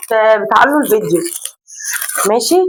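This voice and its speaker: A woman with a high-pitched voice and an Egyptian accent talks at a fairly quick pace in an animated tone. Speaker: family vlogger. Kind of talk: casual vlog chat. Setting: at home.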